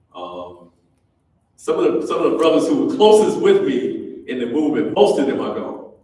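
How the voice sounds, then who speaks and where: A man at a moderate pace, with audible room echo. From Detroit, Michigan. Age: 70s. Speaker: community organizer and keynote speaker. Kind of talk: keynote address. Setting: university ballroom with audience. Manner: conversational, with fillers.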